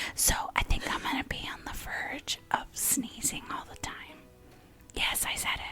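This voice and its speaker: Someone whispers at a fairly slow pace with music in the background. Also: woman. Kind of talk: casual podcast talk. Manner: whispered.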